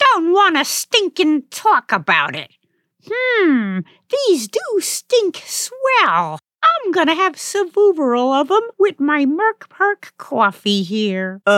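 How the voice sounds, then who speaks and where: Using a put-on character voice, a woman speaks at an extremely high pitch with very wide pitch swings. Her pace is very slow. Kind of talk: comic overacting.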